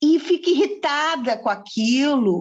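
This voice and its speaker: Lively intonation marks this woman's speech. She talks very slowly. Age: 60s. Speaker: aromatherapist and event host. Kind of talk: casual group conversation. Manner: hesitant, with many fillers.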